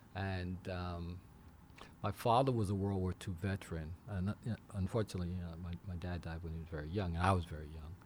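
At a fairly quick pace, a man speaks in a somewhat breathy, very deep, low voice. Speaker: aviation accident investigator. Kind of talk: interview. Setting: studio.

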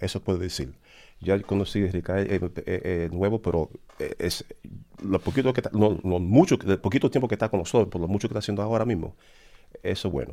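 On a very clean recording with a silent background, a man talks at a fairly quick pace in a dark, mellow tone with ordinary pitch variation. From Dominican Republic. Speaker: commission member. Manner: halting.

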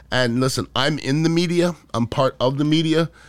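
The recording is very clean, its background silent. A man talks at a moderate pace. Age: 50s. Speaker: podcast host. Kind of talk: casual political commentary monologue.

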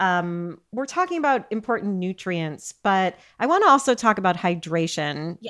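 Very cleanly recorded over a silent background, a woman speaks in a normal speaking voice at a medium pitch and a moderate pace, with lively intonation. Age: 50s. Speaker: podcast host, nutritionist. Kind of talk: interview.

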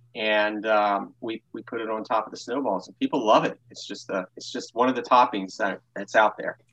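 A man speaks in a normal speaking voice at medium pitch, keeping a moderate pace with hardly any pauses. The sound is dry and close with no echo, and his intonation stays fairly even while his loudness swings widely. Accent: American. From Baltimore, Maryland. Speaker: small business owner. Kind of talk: interview.

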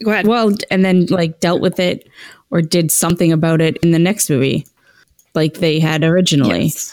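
A woman with a fairly low voice speaks at a fairly quick pace, her loudness very even. Her pitch varies in an ordinary way, and it is an ordinary speaking voice. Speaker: podcast host. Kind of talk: casual chat.

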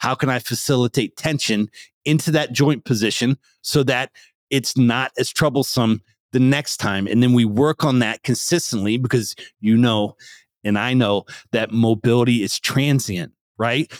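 An unremarkable speaking voice from a man with an American accent, medium in pitch with ordinary pitch variation at a moderate pace, in a dry, close sound with no echo on a very clean recording with a silent background. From rural Pennsylvania. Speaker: strength and conditioning coach. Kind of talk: interview conversation.

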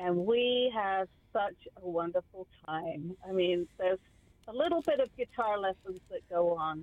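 A woman with a southern English accent talks at a fairly slow pace in a medium pitch. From southeast England, Kent. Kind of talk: casual interview chat.

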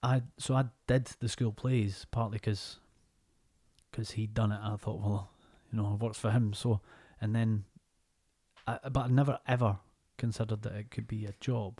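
The voice is dark and mellow, somewhat breathy, with fairly even intonation, a moderate pace and long, frequent pauses. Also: man. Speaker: actor. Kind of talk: casual chat.

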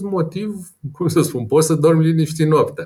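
Here is a man speaking. His pitch is fairly high. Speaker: personal finance blogger and investor. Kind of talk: interview.

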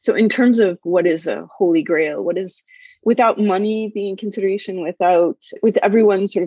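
A woman's dark, mellow voice at medium pitch, moderate pace, and ordinary pitch variation, in a dry, close sound with no echo. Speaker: health data and standards expert. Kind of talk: interview conversation.

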